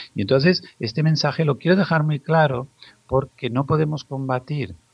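A man's somewhat breathy voice comes through dry and close, with no echo. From Spain, Zaragoza. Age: 50s. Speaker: pediatrician. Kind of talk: interview.

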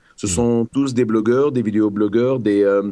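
Against a quiet background, a man with a fairly low pitch and a dark, mellow tone talks at a moderate pace with ordinary pitch variation. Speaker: guest from Tunisia discussing the revolution. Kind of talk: casual chat. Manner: halting.

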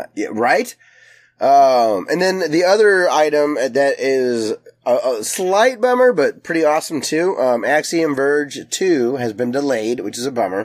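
Pitched fairly high, a man talks at a fairly slow pace with very wide pitch swings. The recording is very clean, with a silent background. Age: 30s. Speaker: video game podcast host. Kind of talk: casual chat.

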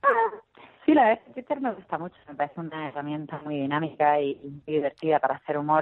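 A woman speaks with a Murcian accent at a fairly quick pace. Her pitch is very deep and low, with ordinary variation. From Murcia, Spain. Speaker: comedian. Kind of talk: interview.

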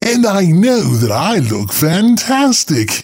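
A man's put-on character voice, high-pitched, at a fairly slow pace with very wide pitch swings. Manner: prim, affected.

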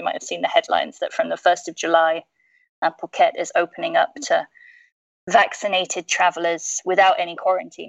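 Recorded with a dry, close sound with no echo, a woman with a British accent speaks at a fairly quick pace. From UK. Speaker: tourism industry professional. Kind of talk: casual chat.

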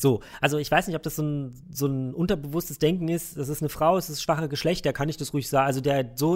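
In a very clean recording with a silent background, a man speaks very fast at a fairly high pitch, with ordinary pitch variation. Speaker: games journalist. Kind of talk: interview; casual chat.

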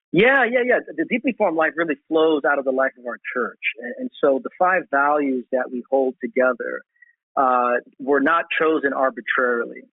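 Lively intonation at a moderate pace in an American accent, an ordinary speaking voice. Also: man, fairly high pitch for a man. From Brooklyn, New York. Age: 40s. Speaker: pastor. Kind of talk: casual chat.

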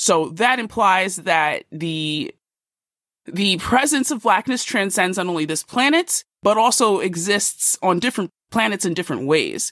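A woman talks at a medium pitch in an animated tone with lively intonation. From US Northeast (Philadelphia). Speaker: podcast co-host. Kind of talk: casual chat.

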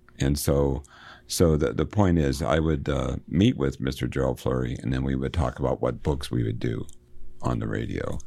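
This man has a very deep, low pitch and a dark, mellow tone with vocal fry. He talks at a moderate pace with ordinary pitch variation. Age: 60s. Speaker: college literature instructor and radio host. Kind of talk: interview. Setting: studio. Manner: halting.

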